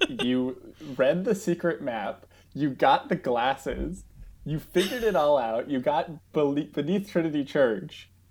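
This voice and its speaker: In a plain, everyday voice, a man with an American accent speaks at a fairly high pitch with lively intonation, recorded very cleanly against a silent background. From New Jersey. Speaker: podcast guest, movie fan. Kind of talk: casual chat.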